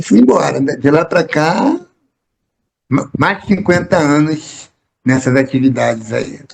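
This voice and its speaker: Speaking at a fairly slow pace, a man with a fairly high pitch and vocal fry leaves long, frequent pauses. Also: ordinary pitch variation. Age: 60s. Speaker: poet, actor and theatre director. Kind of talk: interview. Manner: halting, with repetitions.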